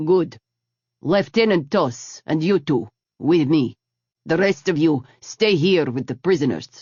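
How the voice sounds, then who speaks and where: Growling in a put-on character voice, a man speaks at a fairly slow pace. His pitch is fairly high and his intonation lively. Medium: read story. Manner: curt, authoritative.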